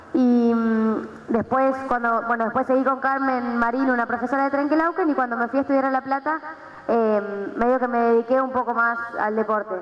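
A woman with a high pitch and fairly even intonation speaks at a moderate pace, with audible room echo around her. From Argentina, Buenos Aires province (Pehuajó). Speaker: aerobics coach and PE teacher. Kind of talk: workshop talk to audience. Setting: gym with live audience. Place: gym. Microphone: headset.

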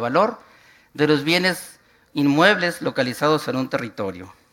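Over a quiet background, a man with a northern Mexican accent talks at a moderate pace in a high, bright, sharp voice with lively intonation. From northwestern Mexico, Hermosillo; northwestern Mexico. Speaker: urban planning and cadastre official; conference lecturer. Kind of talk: conference talk; lecture. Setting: conference hall with audience. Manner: halting, frequent repetitions. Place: hall.

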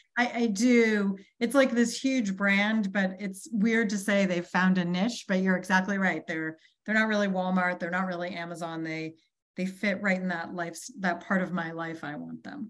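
Woman with an American accent, moderate pace and ordinary pitch variation, in a quiet background. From Boston, US. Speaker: chief marketing officer; guest. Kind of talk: interview. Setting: video call. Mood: relaxed, reflective. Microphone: video call.

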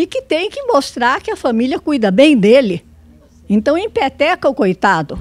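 Her high-pitched voice makes very wide pitch swings as this woman talks at a moderate pace. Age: 90s. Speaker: elderly audience member; audience member. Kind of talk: audience testimony. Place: hall. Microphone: handheld.

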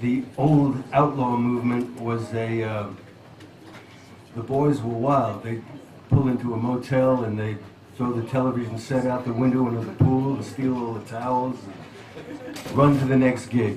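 The speech is fairly slow, with a monotone, flat intonation. Audible room echo and light background noise surround it. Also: man. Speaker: guest. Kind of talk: interview answer and song introduction. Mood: reflective, warm storytelling.

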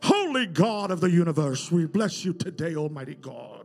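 A man does a put-on character voice, high-pitched, with big swings in loudness. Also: moderate pace. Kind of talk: elevated, archaic-sounding. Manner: pompous.

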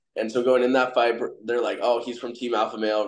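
The voice belongs to a man of medium pitch. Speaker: MMA fighter. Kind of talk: interview. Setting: video call. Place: home room. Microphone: video call.

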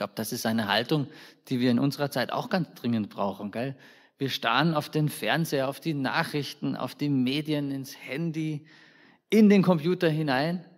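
A man speaks in an ordinary speaking voice at a fairly high pitch, with ordinary pitch variation. His moderate pace comes through on a very clean recording with a silent background. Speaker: preacher. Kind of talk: sermon in a church service. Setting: church. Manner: conversational, warm, informal preaching with colloquial asides; earnest and direct, addressing the congregation personally.

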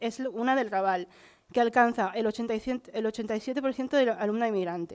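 At a fairly slow pace, a woman with an ordinary speaking voice speaks with ordinary pitch variation over a quiet background. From Barcelona, Catalonia. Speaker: teacher training student. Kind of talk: conference talk. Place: hall. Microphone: podium.

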